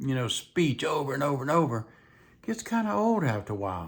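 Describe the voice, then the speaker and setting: Over a very clean recording with a silent background, a man with a fairly high pitch talks at a fairly quick pace with very wide pitch swings. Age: 70s. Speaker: vlogger. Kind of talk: casual chat. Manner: rambling, conversational.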